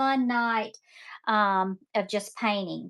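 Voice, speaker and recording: This woman talks very slowly in a Southern US accent. Her fairly high voice has a bright, sharp tone. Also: very clean recording, silent background. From Mississippi, US South. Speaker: online seller and painting instructor. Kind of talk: live-stream sales demo while painting. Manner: chatty, talkative; hesitant, many fillers.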